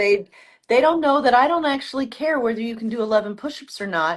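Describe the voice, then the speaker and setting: A woman with an unremarkable speaking voice, fairly high pitch and lively intonation, over a quiet background. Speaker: orthopedic surgeon and author. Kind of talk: casual interview.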